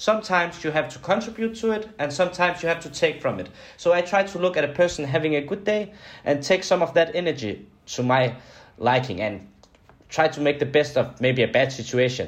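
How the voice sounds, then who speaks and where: Lively intonation and a fairly quick pace mark this Danish accent. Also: man, fairly high pitch for a man. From Denmark. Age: 20s. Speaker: guest, sales and marketing professional. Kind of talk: casual interview, storytelling. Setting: video call.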